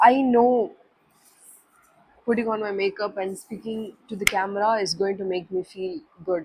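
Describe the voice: A woman speaks at a medium pitch with fairly even intonation. Her pace is fairly slow, and her voice has a slightly husky edge.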